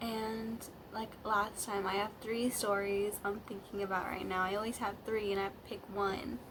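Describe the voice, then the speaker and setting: At a fairly slow pace, a woman talks through audible room echo with noticeable background noise. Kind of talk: casual storytime vlog. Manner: halting, many fillers.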